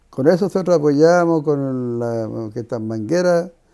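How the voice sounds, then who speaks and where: In a very clean recording with a silent background, a man with a dark, mellow tone speaks at a fairly slow pace with ordinary pitch variation. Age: 80s+. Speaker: former shovel worker. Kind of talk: interview answer.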